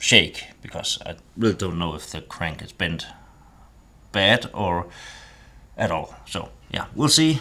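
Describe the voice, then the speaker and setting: The speaker is a man. His pace is very slow. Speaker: DIY restorer, garage video maker. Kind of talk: casual workshop narration. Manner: mumbling, halting.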